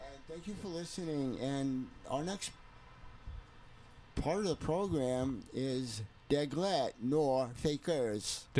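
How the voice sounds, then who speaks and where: In a dark, mellow tone, a man speaks very slowly at a fairly high pitch with ordinary variation and long, frequent pauses. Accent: New York. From New York. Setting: radio or broadcast.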